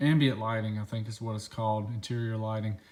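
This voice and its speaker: This man talks at a fairly quick pace with a medium-pitched voice. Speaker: car modding youtuber. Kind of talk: casual walkaround tutorial. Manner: fast.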